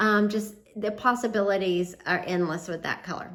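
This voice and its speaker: A woman speaking at a fairly slow pace, with noticeable background noise. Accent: Southern US. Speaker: home and DIY vlogger. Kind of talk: casual vlog talk to camera. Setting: outdoors on front porch. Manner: casual, with frequent fillers.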